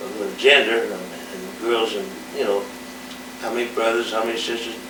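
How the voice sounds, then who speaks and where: A man keeps a fairly quick pace while audible room echo and noticeable background noise fill the recording. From Indiana, US Midwest. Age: 70s. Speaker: musician recounting his life. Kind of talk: oral history monologue. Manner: halting, with many fillers and self-corrections.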